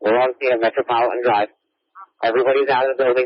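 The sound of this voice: A man speaks at a fast pace. His pitch is medium.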